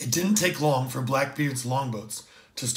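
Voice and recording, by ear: Here someone is reading aloud in a natural voice, with ordinary pitch variation.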